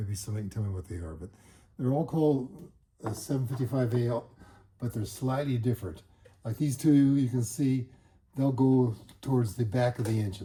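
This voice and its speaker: Somewhat breathy and dark, mellow in tone, a man talks at a fairly quick pace with long, frequent pauses, his medium pitch showing ordinary variation. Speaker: motorcycle hobbyist. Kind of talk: tutorial. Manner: fast; halting.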